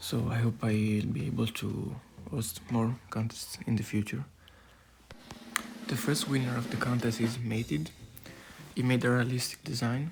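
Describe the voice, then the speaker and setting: Long, frequent pauses break up speech at a moderate pace, with ordinary pitch variation over noticeable background noise. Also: man. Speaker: YouTuber discussing dinosaur designs. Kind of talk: casual video commentary. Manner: low, not very lively; hesitant, many fillers.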